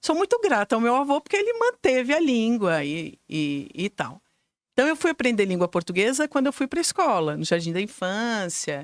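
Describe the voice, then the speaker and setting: A woman with a fairly high voice talks at a moderate pace with very wide pitch swings, recorded very cleanly against a silent background with a dry, close sound and no echo. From Brazil, Curitiba. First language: German (speaking Portuguese). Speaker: school director and educator. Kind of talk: interview.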